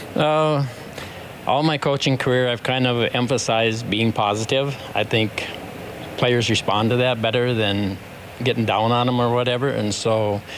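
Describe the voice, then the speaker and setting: A man at medium pitch, moderate pace, fairly even intonation and very even loudness, with noticeable background noise. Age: 70s. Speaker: basketball coach. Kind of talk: interview.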